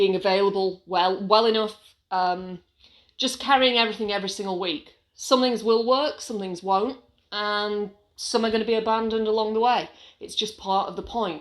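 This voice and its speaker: Fairly high-pitched woman in an English accent, moderate in pace with fairly even intonation, on a very clean recording with a silent background. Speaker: small business owner and vlogger. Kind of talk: casual vlog monologue. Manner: hesitant, with many fillers.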